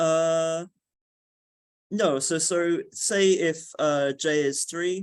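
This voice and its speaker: The pace is very slow, with long, frequent pauses and fairly even intonation. The background stays quiet. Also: man, high pitch for a man. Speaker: physics researcher giving a talk. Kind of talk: technical lecture with questions. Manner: hesitant, many fillers.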